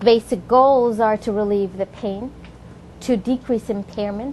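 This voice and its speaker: A woman's fairly high voice, fairly even intonation and moderate pace, with noticeable background noise. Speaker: physician lecturer. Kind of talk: lecture. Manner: halting.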